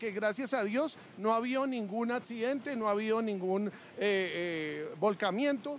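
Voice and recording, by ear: Speaking at a moderate pace, a man has a high pitch and ordinary pitch variation.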